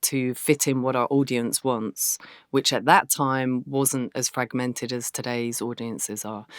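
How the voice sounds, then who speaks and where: A woman with an English accent speaks fairly slowly at a very deep, low pitch with fairly even intonation, on a very clean, dry, close recording with a silent background and no echo. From southeast England, Canterbury. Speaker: filmmaker and video journalist. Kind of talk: interview.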